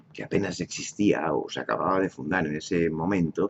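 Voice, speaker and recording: A man talks at a moderate pace with vocal fry. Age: 70s. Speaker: political commentator. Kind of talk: monologue. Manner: halting.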